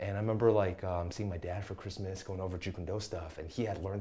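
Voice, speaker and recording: At a fairly quick pace, a man speaks with a very deep, low pitch, a dark, mellow tone, fairly even intonation and a somewhat breathy quality, with audible room echo. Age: 30s. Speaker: Muay Thai coach. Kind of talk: casual chat. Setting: podcast interview.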